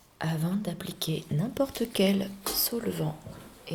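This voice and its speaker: Whispering and soft-spoken, a woman talks very slowly over noticeable background noise. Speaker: art restorer teacher (roleplay). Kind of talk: asmr roleplay lesson. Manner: soft-spoken, whispery.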